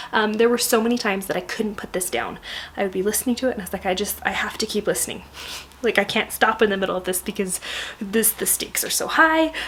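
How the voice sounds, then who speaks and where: Very fast, fairly high-pitched female speech over noticeable background noise. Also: ordinary pitch variation. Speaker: book vlogger. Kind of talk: casual book review vlog. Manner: hesitant, many fillers; soft-spoken, trying to be quiet.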